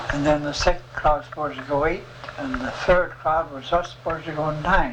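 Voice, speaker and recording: With noticeable background noise, a man speaks fairly quickly at a fairly high pitch, keeping his intonation fairly even. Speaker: war veteran. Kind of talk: interview answer.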